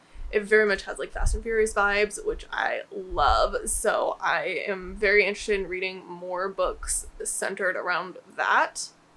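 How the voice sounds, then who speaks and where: A woman talks at a moderate speed, hardly pausing at all, with noticeable background noise behind her. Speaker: booktuber. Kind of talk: casual vlog talk. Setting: home office. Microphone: echoey room.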